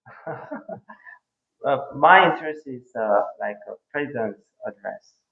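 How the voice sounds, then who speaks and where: In a Korean accent, the speaker talks at a fairly slow pace with lively intonation and big swings in loudness. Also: man, fairly high pitch for a man. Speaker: interview guest. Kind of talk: interview. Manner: halting, with many hesitations.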